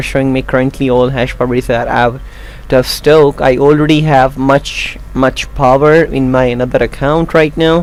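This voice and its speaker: Against noticeable background noise, a man with a non-native accent speaks at a moderate pace in a fairly high pitch with monotone, flat intonation. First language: not English. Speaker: YouTube tutorial creator. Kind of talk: tutorial. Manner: halting.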